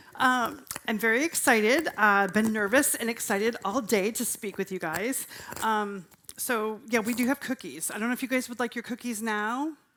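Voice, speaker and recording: The voice has an energetic tone, ordinary pitch variation and a moderate pace. Noticeable background noise sits behind it. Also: woman, fairly high pitch for a woman. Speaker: vegan cooking demo presenter. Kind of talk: live cooking demo talk. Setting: stage with audience at festival. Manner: loud. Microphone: handheld mic, told to speak quieter.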